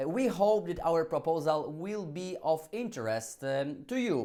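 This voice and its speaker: A man's voice, high-pitched, with lively intonation. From Poland. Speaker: legal scholar. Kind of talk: conference talk. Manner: halting.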